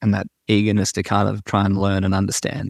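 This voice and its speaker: A man with an Australian accent talks very fast at a fairly low pitch, with vocal fry. The sound is dry and close, with no echo. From Australia, Sydney. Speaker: agriculture podcast host and ag tech worker. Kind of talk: interview conversation.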